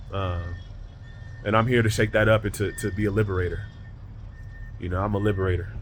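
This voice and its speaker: Very fast male speech, fairly low in pitch and flat in a monotone, with vocal fry and long, frequent pauses. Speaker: spiritual vlogger. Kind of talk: motivational monologue.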